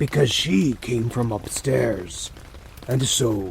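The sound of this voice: The voice is an unforced reading voice. It carries through the whole clip.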